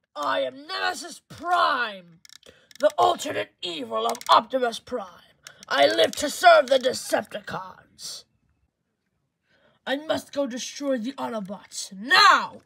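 A female-sounding, put-on character voice speaks high in pitch at a fairly slow pace, with long, frequent pauses. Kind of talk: character voice acting in a fan film. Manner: menacing, declarative.

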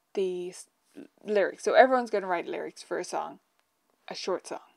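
A woman's fairly even intonation against a quiet background. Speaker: piano teacher. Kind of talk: casual live stream chat. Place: home room.

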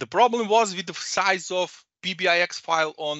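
A man with a Serbian accent speaks at a high pitch with ordinary pitch variation. The sound is dry with no echo, over a quiet background. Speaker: data consultant and trainer; trainer. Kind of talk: presentation. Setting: video call. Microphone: headset.

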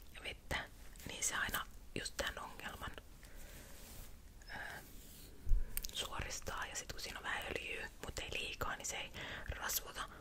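Whispering from a woman, very slow, with long, frequent pauses. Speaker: ASMR creator / vlogger. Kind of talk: casual talk to camera. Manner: chatty, casual. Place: home room. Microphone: studio mic.

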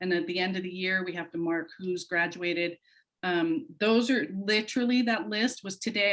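Talking at a fairly quick pace, a woman shows ordinary pitch variation. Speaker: high school counselor. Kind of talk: public meeting presentation. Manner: fast.

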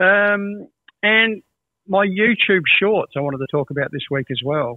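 With an Australian accent, a man speaks at a fairly slow pace with ordinary pitch variation, the sound dry with no echo and the background quiet. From Adelaide, Australia. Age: 60s. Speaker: music educator and guitarist. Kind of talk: casual chat. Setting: video call. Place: home room.

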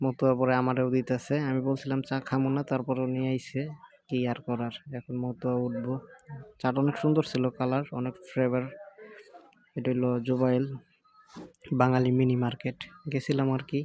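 The speaker has a central Bangladeshi accent. The intonation stays monotone and flat. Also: man, medium pitch for a man. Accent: Tangail regional dialect. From Bangladesh, Tangail. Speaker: migrant worker vlogger. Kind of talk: casual vlog.

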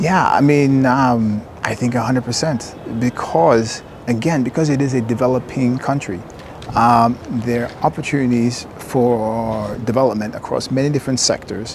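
Speaking at a fairly slow pace with an American accent, a man with a medium pitch and ordinary pitch variation is heard in a dry sound with no echo, very even loudness and noticeable background noise. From US, Maryland. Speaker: real estate entrepreneur. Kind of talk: casual interview.

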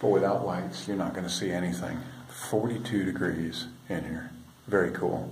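At a moderate pace, the slightly mellow voice comes through over faint background noise. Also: man, low pitch for a man, fairly even intonation.

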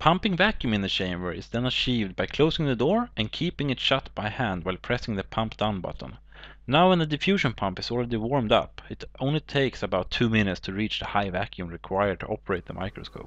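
A man with a Swedish accent speaks at a very fast pace with hardly any pauses. His pitch is medium and his intonation lively. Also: quiet background. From Sweden. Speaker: hobbyist science demonstrator. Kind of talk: tutorial. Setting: living room at home. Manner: formal.

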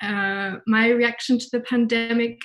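Monotone, flat intonation over a quiet background. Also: woman. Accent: British. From UK. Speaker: developer advocate; conference presenter. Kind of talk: conference talk. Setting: virtual online event. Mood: warm, chatty. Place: home room. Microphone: webcam.

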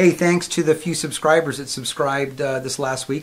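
The man's delivery moves along at a fairly quick pace. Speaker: vlogger. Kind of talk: casual vlog chat. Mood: relaxed, conversational. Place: home room.

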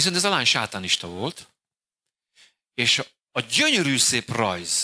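A man with vocal fry and a bright, sharp tone speaks at a very slow pace, his pitch swinging very widely, over a quiet background. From Hungary. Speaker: pastor. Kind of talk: sermon. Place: church. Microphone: handheld.

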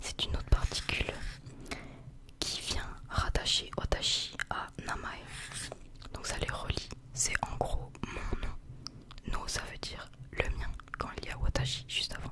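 Whispering in a relaxed tone, a woman speaks at a very slow pace with long, frequent pauses. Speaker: ASMR content creator acting as a Japanese teacher. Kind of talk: ASMR roleplay lesson for sleep. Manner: soft, slow, relaxed, casual. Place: home room. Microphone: studio mic.

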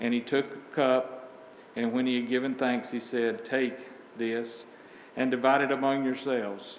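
A man at a moderate pace with monotone, flat intonation, audible room echo and light background noise. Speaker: church member leading communion. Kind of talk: prayer and scripture reading. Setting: church. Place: church. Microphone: camera far.

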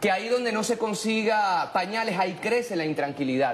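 The intonation is lively and the pace fairly quick. A little background noise can be heard. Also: man. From Venezuela. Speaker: political commentator. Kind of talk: panel discussion. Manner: formal. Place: studio. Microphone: lapel.

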